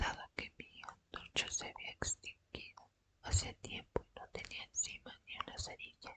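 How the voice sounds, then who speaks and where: Whispering at a fairly slow pace, a woman shows big swings in loudness. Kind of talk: ASMR whispered book reading. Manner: whispered, soft.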